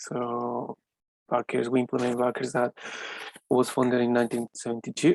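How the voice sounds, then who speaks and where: A man speaks at a medium pitch in a monotone, flat intonation. The sound is dry and close with no echo. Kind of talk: business presentation.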